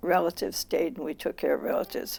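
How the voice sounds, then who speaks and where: This is a woman speaking. She has a Californian accent. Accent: American, Californian. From US West, Los Angeles (Boyle Heights). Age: 80s+. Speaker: retired educator. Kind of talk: personal interview testimony.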